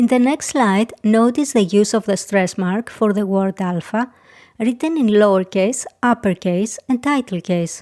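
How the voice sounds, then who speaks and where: A woman with a Greek accent and a dark, mellow tone is heard in a very clean recording with a silent background and a dry, close sound with no echo. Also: fairly high pitch for a woman, ordinary pitch variation, fairly slow pace. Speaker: language teacher. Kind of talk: tutorial. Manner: clear, deliberate.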